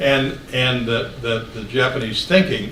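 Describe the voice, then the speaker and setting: A man's medium-pitched voice at a fairly slow pace with fairly even intonation, amid audible room echo and noticeable background noise. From West Virginia. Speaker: author and speaker. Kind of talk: Q&A after a talk. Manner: halting.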